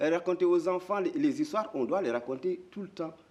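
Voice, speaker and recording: Noticeable background noise sits behind a voice with lively intonation moving at a fairly quick pace. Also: man. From Mauritania. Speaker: storyteller. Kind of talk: interview answer. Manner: hesitant, repeats words.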